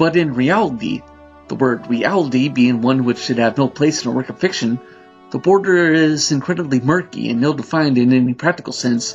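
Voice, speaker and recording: A man is talking fairly quickly. Behind him, there is music in the background. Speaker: narrator reading a novel. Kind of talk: audiobook narration.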